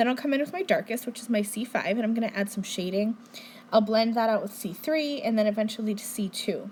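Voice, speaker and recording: A woman talks very fast in a fairly high pitch. Her voice is somewhat breathy. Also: ordinary pitch variation. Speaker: card maker. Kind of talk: tutorial. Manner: casual, friendly.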